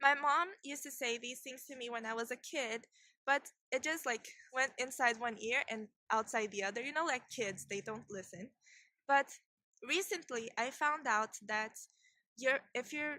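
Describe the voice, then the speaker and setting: A woman's high, bright, sharp voice with a non-native accent, ordinary pitch variation, big swings in loudness, moderate pace and long, frequent pauses. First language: not English. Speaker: video blogger. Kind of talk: casual vlog talk. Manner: halting, repeats and restarts words.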